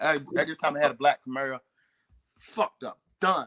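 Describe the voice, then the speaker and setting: A man speaks with a Southern US accent in a bright, sharp tone. The sound is dry and close, with no echo. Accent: Southern drawl. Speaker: talk show co-host. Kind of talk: casual chat. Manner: fast; slurred words.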